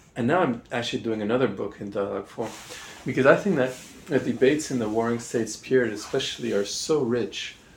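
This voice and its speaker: A man with a Canadian accent at a medium pitch, talking at a very fast pace over noticeable background noise. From Montreal, Canada. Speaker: political theory professor. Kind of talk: interview. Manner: hesitant, many fillers.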